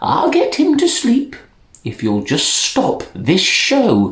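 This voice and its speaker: A man puts on a character voice. He speaks very slowly. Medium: read story.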